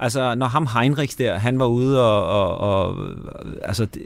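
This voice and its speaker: Against a very clean recording with a silent background, a man has a normal speaking voice at medium pitch with ordinary pitch variation. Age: 60s. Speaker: radio host and screenwriter. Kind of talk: casual chat. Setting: studio.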